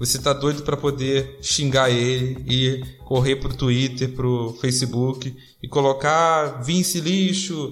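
Very slow and somewhat breathy, the voice holds a very even loudness and fairly even intonation. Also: man, medium pitch for a man. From Rio de Janeiro, Brazil. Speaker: wrestling podcast host. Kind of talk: casual chat.

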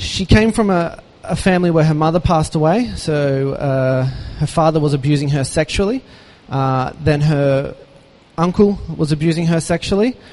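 At a moderate pace, a man with a fairly high pitch speaks with an Australian accent. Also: ordinary pitch variation. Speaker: charity founder. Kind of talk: inspirational talk. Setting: stage with audience.

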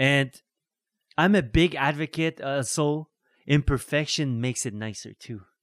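An unremarkable speaking voice at a fairly slow pace with ordinary pitch variation, dry and close with no echo, on a very clean recording with a silent background. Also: man. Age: 60s. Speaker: musician and photographer. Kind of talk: casual chat. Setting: studio.

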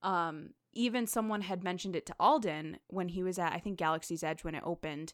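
A woman's ordinary speaking voice with an American accent, medium pitch, ordinary pitch variation and a fairly quick pace, in a very clean recording with a silent background. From Connecticut, US. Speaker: podcast host. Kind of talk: casual chat.

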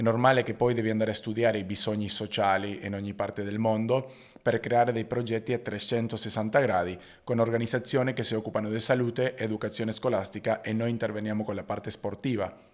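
In a very clean recording with a silent background, a man with a Spanish accent speaks fairly quickly at medium pitch in a monotone, flat intonation. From Argentina. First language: Spanish (speaking Italian). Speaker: basketball player and entrepreneur. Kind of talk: interview.

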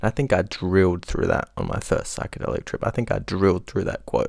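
On a very clean recording with a silent background, a man speaks with a very deep, low voice. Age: young. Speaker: podcast host. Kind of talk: casual monologue.

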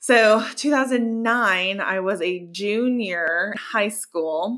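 Bright, sharp tone in a very clean recording with a silent background. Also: woman. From Colorado. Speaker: podcast host. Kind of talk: casual chat; scripted narration.

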